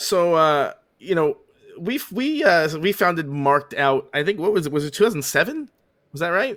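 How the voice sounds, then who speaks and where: Lively intonation runs through this voice with a Long Island accent. The speaker keeps a moderate pace. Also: man, high pitch for a man. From Long Island, New York. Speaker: podcast host, autograph collector. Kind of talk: casual chat. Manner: many fillers and hesitations.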